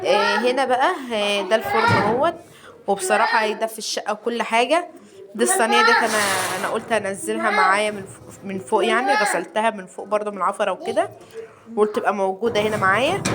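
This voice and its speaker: A woman's fairly high voice with an Egyptian accent, a moderate pace and big swings in loudness, over noticeable background noise. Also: ordinary pitch variation. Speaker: home vlogger. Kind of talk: casual home vlog. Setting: at home. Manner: halting.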